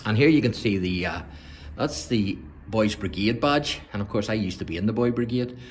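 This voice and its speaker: Somewhat breathy, a man speaks with lively intonation. Light background noise can be heard. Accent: Northern Irish. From Northern Ireland. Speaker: church history video presenter; presenter. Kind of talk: guided tour. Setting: inside a church. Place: church. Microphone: phone near.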